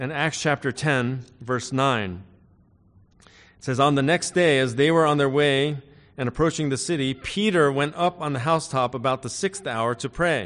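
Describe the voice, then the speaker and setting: Here a man speaks at a moderate pace with ordinary pitch variation, an ordinary speaking voice. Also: fairly high pitch for a man. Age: 50s. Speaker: pastor. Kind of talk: sermon. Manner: frequent filler words.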